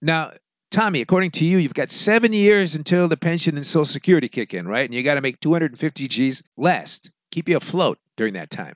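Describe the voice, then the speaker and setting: A plain, everyday voice belongs to this man, who speaks with an American accent, fairly high in pitch and with lively intonation. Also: dry, close sound with no echo. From United States. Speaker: podcast host advising expats. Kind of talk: casual monologue with reading listener emails.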